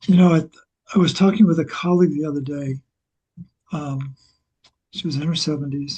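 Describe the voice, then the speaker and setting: Somewhat breathy, this man has a fairly high pitch and fairly even intonation. His fairly quick speech comes in a dry, close sound with no echo. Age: 70s. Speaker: health protocol creator. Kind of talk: interview.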